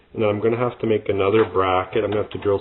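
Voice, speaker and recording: Mumbled speech over noticeable background noise. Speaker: RC hobbyist video maker. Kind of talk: workshop tutorial. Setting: workbench. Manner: mumbling, thinking aloud.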